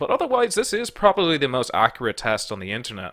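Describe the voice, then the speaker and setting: A man with an Irish accent lets his pitch swing very widely. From Ireland. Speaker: online political commentator. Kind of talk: casual solo commentary taking an online quiz. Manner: halting, many fillers and repeated words; plain own voice, no comedic put-on voice.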